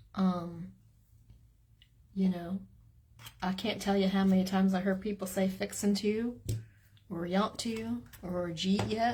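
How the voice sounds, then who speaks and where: A woman speaks at a fairly slow pace, pausing long and often, with an American accent. Her medium-pitched voice has a dark, mellow tone and is somewhat breathy. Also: ordinary pitch variation. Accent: Southern twang, comes and goes. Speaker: crafting video creator. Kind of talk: casual chat. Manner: animated.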